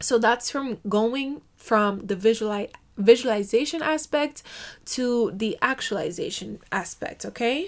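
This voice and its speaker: Animated in tone, a woman speaks fairly slowly at a fairly high pitch with ordinary pitch variation. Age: 20s. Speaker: podcast host. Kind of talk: motivational monologue.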